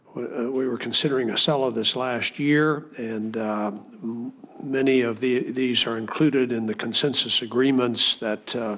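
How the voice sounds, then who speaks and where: Noticeable background noise sits behind a man of medium pitch. He talks at a fairly slow pace with fairly even intonation. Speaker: committee chairman presiding over the hearing. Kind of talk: Senate committee hearing remarks.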